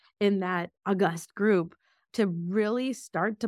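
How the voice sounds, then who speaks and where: Fairly even in intonation and marked by vocal fry, a woman's voice comes through a very clean recording with a silent background. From Russia (Moscow), then US. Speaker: biotech executive. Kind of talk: interview.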